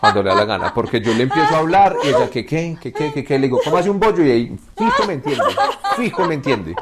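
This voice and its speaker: There is noticeable background noise. Over it, a man talks very fast. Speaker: husband of a podcast host. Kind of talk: casual interview chat. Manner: halting, repetitive.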